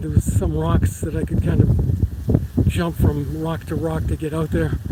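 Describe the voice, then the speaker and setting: A man talks fairly slowly while noticeable noise fills the background. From Boston area, Massachusetts. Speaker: vlogger, lawyer and Marine veteran. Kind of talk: live stream walking vlog. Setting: outdoors on a hiking trail. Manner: casual, conversational.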